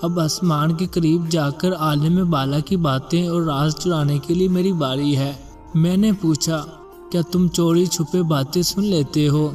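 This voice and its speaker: Music plays behind a man with a fairly high pitch. His intonation is fairly even and his loudness very even. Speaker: voice-over artist. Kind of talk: Islamic story narration.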